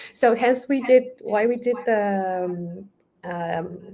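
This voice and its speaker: A woman speaks in a Romanian accent with ordinary pitch variation. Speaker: Java developer advocate. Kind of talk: casual interview chat. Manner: halting, many fillers.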